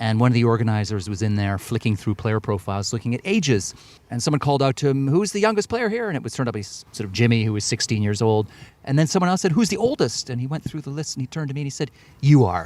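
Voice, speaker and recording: A man's very fast, lively delivery at a medium pitch, in a Canadian accent. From Canada, Edmonton. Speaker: author. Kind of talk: interview. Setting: outdoors.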